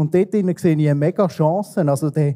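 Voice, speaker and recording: A man with a high pitch speaks at a very slow pace. His tone is dark and mellow, with ordinary pitch variation. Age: 30s. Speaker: church technical director. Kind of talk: interview. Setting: church service livestream.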